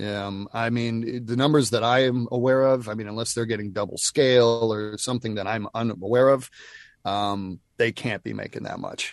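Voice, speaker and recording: A man with an American accent and an ordinary speaking voice, fairly even intonation and a moderate pace. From US South, Nashville. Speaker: voice actor. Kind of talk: casual chat.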